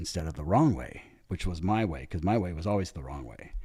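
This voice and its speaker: Lively intonation carries a man's very deep, low voice, which has vocal fry. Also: very clean recording, silent background. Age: 60s. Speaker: big wave tow surfer. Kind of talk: casual chat. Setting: video podcast. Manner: animated.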